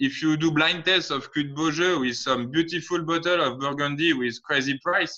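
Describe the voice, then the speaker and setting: A bright, sharp tone in a French accent, at a moderate pace with ordinary pitch variation. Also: man. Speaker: winemaker. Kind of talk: casual chat. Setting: video call. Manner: halting.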